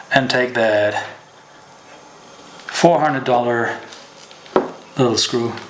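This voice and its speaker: A man speaks at a medium pitch and a very slow pace, with long, frequent pauses. The room echo is audible and background noise is noticeable. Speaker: fishing show host. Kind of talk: tutorial. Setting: at home. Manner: casual, with fillers.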